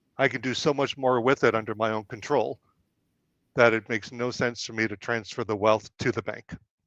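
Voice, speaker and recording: In an unremarkable speaking voice, a man talks fairly quickly at medium pitch with fairly even intonation, his dry, close sound having no echo against a quiet background. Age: 60s. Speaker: financial educator. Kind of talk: webinar discussion. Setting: live stream.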